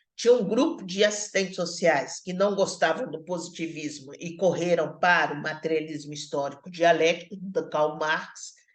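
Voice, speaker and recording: A woman with a fairly low pitch speaks at a moderate pace with hardly any pauses, her pitch moving normally while her loudness swings widely. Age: 60s. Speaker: social work professor. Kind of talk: online lecture. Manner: halting, with many fillers and repetitions.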